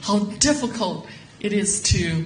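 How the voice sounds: A woman speaks fairly slowly with lively intonation. Room echo is audible. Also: medium pitch for a woman.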